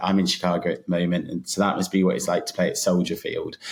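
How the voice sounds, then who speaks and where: A man speaks at a very fast pace with a British accent. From Britain. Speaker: app founder, runner. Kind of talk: podcast interview.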